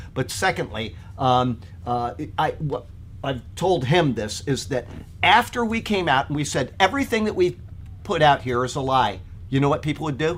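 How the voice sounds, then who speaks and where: Vocal fry marks a man's fairly high voice, swinging very widely in pitch at a moderate pace with long, frequent pauses. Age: 50s. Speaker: Bible teacher. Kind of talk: Bible study teaching. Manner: casual, chatty.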